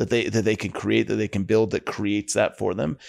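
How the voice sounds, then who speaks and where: A man with a US Midwestern accent on a very clean recording with a silent background. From northeastern Ohio, US. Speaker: pest control business owner. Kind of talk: casual interview.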